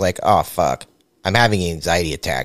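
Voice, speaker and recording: An unremarkable speaking voice from a man at a fairly quick pace with ordinary pitch variation, dry and close with no echo. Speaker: podcast host. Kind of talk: casual comedic interview chat. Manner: joking, crude humor.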